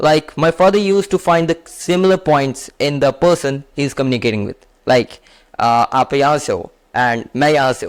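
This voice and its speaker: A man with an Indian accent speaks at a moderate pace, his pitch fairly high with ordinary variation. The sound is dry and close, with no echo. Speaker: self-help youtuber. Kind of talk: motivational talk to camera.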